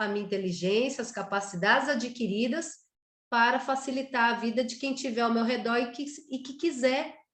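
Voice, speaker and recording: Moderate pace and ordinary pitch variation. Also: woman. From Brazil, Pernambuco. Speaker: writer, workshop guest. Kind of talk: personal introduction in online workshop.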